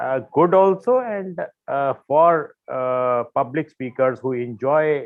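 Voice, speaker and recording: A man speaks with an Indian accent. His pitch variation is ordinary. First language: Hindi. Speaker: panelist. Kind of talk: casual chat. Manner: halting, many fillers.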